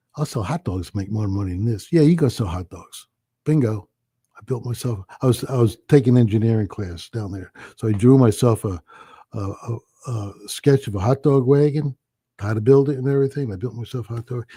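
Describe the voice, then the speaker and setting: The voice is dark, mellow and somewhat breathy, at a moderate pace with ordinary pitch variation. Long, frequent pauses and big swings in loudness come through a dry, close sound with no echo. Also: man, medium pitch for a man. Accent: American. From New Jersey. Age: 70s. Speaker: restaurant owner. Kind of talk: casual chat.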